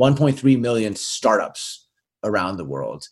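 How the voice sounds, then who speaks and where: Against a quiet background, a man with a Canadian accent speaks at a very slow pace. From Winnipeg, Canada. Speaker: venture investor and author. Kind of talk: interview.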